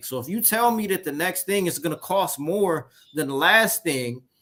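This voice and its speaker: The pace is moderate. Intonation is lively. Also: man. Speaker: gaming show co-host. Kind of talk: casual chat.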